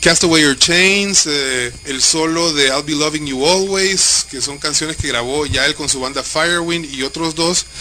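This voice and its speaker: A man's fairly high voice with fairly even intonation and hardly any pauses, over noticeable background noise. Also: moderate pace. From Honduras. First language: Spanish. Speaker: radio co-host interviewer. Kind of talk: live radio interview.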